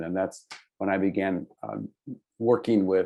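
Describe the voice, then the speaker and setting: A man's voice, an unremarkable speaking voice, moves along at a moderate pace. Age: 60s. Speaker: artist and state legislator. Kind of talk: casual chat.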